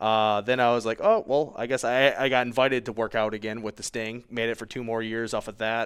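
A man with an American accent speaks at a fairly quick pace with hardly any pauses. His medium pitch stays monotone and flat on a very clean recording with a silent background. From Michigan. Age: 30s. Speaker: high school football coach. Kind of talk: casual interview.

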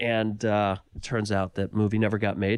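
A man with an American accent speaks in a normal speaking voice at a fairly slow pace, his pitch fairly low, the sound dry and close with no echo on a very clean recording with a silent background. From US, Los Angeles. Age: 40s. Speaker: filmmaker and author. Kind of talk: interview.

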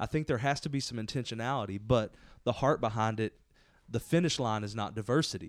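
In a plain, everyday voice, a man with medium pitch talks at a fairly quick pace on a very clean recording with a silent background. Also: ordinary pitch variation. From Southeast Texas. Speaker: pastor. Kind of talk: casual chat. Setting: office couch.

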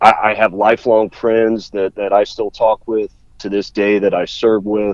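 This man's voice sits fairly low and moves at a fairly slow pace. His intonation stays monotone and flat. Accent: American. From US Midwest, Columbus, Ohio. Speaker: trucking company sales director. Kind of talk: interview. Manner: halting, many fillers and repeated words.

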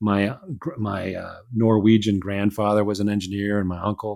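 A man with a Midwestern US accent speaks at a fairly low pitch on a very clean recording with a silent background. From Chicago, US Midwest. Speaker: author and aerospace engineer. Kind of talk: casual interview chat.

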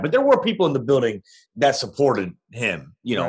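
A man's fairly high voice with vocal fry, very wide pitch swings and a fairly quick pace. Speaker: music blogger interviewed about a documentary. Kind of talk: casual interview chat. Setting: remote call.

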